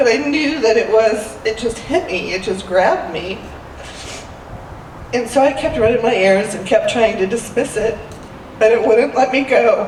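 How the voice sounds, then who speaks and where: Delivered at a moderate pace with long, frequent pauses and ordinary pitch variation, the speech carries audible room echo and noticeable background noise. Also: woman, fairly high pitch for a woman. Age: 60s. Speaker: church member sharing a story. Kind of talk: personal testimony.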